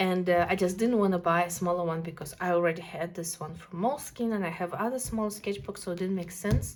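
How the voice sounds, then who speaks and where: A woman with a non-native accent, ordinary pitch variation and hardly any pauses. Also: fairly low pitch for a woman, fairly quick pace. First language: not English. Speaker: art youtuber. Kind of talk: casual video review of art supplies. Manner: animated.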